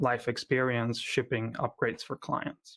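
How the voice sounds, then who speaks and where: A man's medium-pitched voice, monotone and flat in intonation, with a slight Argentine accent, at a moderate pace. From Argentina. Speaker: software company founder giving a conference talk. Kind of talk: conference talk. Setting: remote conference. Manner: frequent filler words and hesitations.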